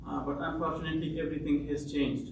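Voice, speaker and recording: A man is talking with audible room echo. Noticeable background noise runs underneath. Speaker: refugee. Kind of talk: testimony. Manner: halting.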